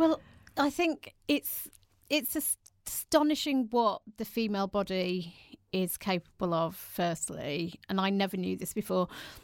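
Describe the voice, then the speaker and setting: With an English accent, the speaker talks at a fairly slow pace with very wide pitch swings on a very clean recording with a silent background. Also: woman, medium pitch for a woman. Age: 40s. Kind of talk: interview.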